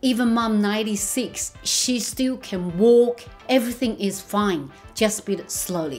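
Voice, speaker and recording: Faint music plays behind a woman who speaks fairly slowly at a fairly high pitch with ordinary pitch variation. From China. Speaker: family carer. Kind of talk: interview answer. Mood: warm, animated. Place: home room.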